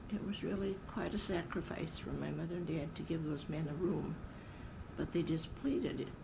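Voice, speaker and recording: A woman speaks in an American accent at a moderate pace. Room echo is audible. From Wisconsin, US Midwest. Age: 80s+. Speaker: elderly interviewee sharing memories. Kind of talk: oral history interview.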